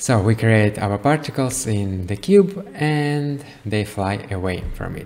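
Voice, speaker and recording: A man with a fairly low pitch at a very slow pace, hardly any pauses, and noticeable background noise. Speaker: creative coding tutorial maker. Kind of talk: software tutorial. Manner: casual, with many fillers and self-corrections.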